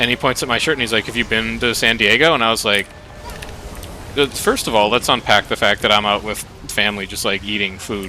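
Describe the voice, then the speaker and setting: Music plays in the background as a man with an American accent talks at a very fast pace and a medium pitch. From US Midwest, near Milwaukee, Wisconsin. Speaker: streamer. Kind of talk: casual chat. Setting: live stream. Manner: animated.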